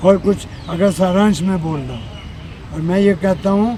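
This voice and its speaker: Crowd noise fills the background as a man speaks. He has a high pitch with ordinary pitch variation. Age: 80s+. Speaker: yoga teacher. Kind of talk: interview. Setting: outdoors outside a press club.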